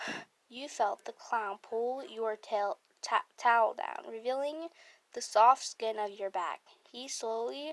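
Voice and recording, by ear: With ordinary pitch variation, a passage is read aloud in a natural voice.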